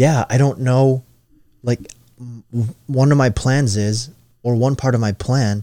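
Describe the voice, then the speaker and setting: On a very clean recording with a silent background and dry, close sound with no echo, a man speaks at medium pitch and a fairly slow pace with ordinary pitch variation in a normal speaking voice. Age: 20s. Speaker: podcast host. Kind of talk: casual chat.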